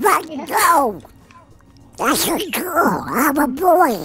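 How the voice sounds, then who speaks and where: Over music in the background, a man does a cartoonish character voice at a very slow pace. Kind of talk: comic cartoon impression. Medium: game stream. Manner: excitable, cheeky, indignant.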